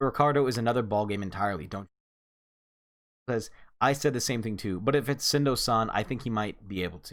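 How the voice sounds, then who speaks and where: A man with a medium pitch and ordinary pitch variation speaks at a very fast pace in an animated tone, with long, frequent pauses. The recording is very clean, with a silent background. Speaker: manga reviewer. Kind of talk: casual review recap. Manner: stumbles over words.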